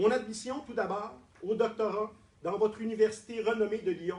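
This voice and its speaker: With a strong Quebec accent, a man speaks fairly slowly in a high pitch against noticeable background noise. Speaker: doctoral prize winner, political scientist. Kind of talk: formal acceptance speech. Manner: formal.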